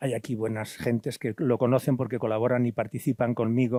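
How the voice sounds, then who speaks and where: A man with a dark, mellow tone talks at a fairly quick pace, the sound dry and close with no echo. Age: 70s. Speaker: priest and former missionary. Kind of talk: lecture. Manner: halting.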